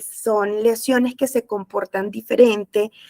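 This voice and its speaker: Recorded dry and close with no echo, a woman with an unremarkable speaking voice talks fairly slowly at a fairly high pitch with fairly even intonation. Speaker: nutritionist. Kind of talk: webinar talk.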